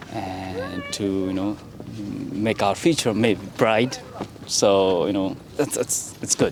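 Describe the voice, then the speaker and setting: A man with a Nepali accent and a fairly low voice, at a very slow pace with ordinary pitch variation, long, frequent pauses and noticeable background noise. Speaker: vlogger. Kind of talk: casual street interview chat. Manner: halting, many fillers.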